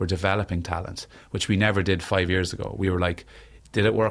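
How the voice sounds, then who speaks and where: In a very clean recording with a silent background, a man speaks with an Irish accent. His very deep, low voice moves at a fairly quick pace with fairly even intonation. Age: 30s. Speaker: singer and mental health author. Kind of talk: interview conversation.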